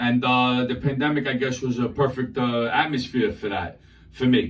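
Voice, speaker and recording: Speaking at a moderate pace, a man with an American accent uses a medium pitch and ordinary pitch variation. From New York City, Queens and Brooklyn. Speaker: social media comedian. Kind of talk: interview. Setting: radio studio. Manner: loud; animated.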